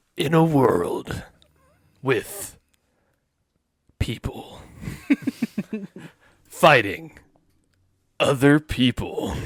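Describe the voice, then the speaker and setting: In a put-on character voice, the speaker uses a middle pitch and a dramatic tone. The pace is very slow, broken by long, frequent pauses. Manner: dramatic, announcer-like.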